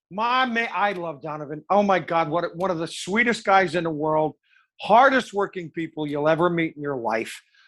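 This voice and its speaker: Over a quiet background, a man speaks at a moderate pace with a high pitch and lively intonation. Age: old. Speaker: wedding and event DJ. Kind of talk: casual chat. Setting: at home.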